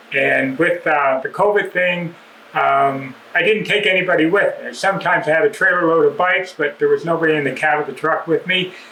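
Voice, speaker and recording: Noticeable background noise sits behind a man who talks fairly quickly in a high pitch. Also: ordinary pitch variation. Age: 70s. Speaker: dirt bike club member giving a maintenance demo. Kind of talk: casual address to club members; casual tutorial. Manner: relaxed, with many fillers.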